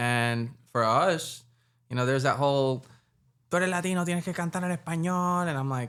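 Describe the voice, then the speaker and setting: In a slight Puerto Rican accent, a man speaks at a fairly quick pace with lively intonation. The recording is very clean, with a silent background. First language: Spanish. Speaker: musician. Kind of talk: casual interview. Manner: animated.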